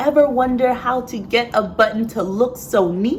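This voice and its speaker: A woman with an ordinary speaking voice, lively intonation and a moderate pace. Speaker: sewist and poet. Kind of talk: slam poetry performance. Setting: live venue.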